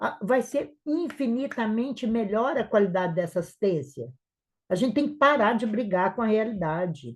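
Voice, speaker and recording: Over a quiet background, a woman speaks at a moderate pace. Her tone is animated and her intonation lively. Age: 60s. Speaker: nurse and entrepreneur. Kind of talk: live webinar talk.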